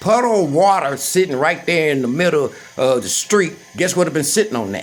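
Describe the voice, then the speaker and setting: A man speaks at a high pitch over noticeable background noise. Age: 60s. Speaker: vlogger. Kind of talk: personal rant. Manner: agitated.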